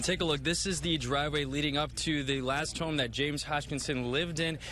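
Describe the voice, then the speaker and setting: With a bright, sharp tone and vocal fry, a man speaks fairly quickly in a fairly high voice, keeping his intonation monotone and flat and his loudness very even. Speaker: morning news anchor and reporter. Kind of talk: local TV news anchor read.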